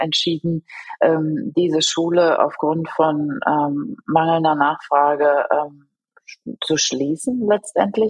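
A woman's voice, fairly low in pitch. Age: 40s. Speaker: school principal. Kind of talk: interview.

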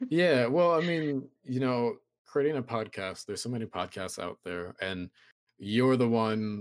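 A man's normal speaking voice at a moderate pace, with ordinary pitch variation. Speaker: podcast host. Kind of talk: casual chat.

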